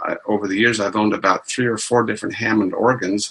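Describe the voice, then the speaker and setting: A man's fairly low, flat monotone at a very fast pace. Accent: American. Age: 70s. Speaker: retired amateur church organist. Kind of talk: interview.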